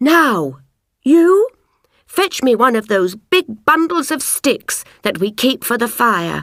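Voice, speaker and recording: A woman puts on a character voice pitched high, with very wide pitch swings. She speaks at a fairly slow pace. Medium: read story. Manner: firm, authoritative.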